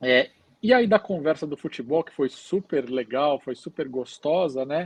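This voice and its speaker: At a fairly slow pace and with a Brazilian accent, the voice shows big swings in loudness. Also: man, fairly high pitch for a man. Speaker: hospital chaplain. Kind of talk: podcast interview, storytelling. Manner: hesitant, many fillers.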